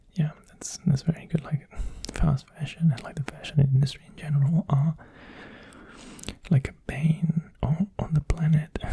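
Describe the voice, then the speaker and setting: A soft-spoken man with a fairly high pitch talks at a moderate pace in a relaxed, calm tone, his intonation flat and monotone while his loudness swings widely and long pauses come often. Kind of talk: ASMR ramble.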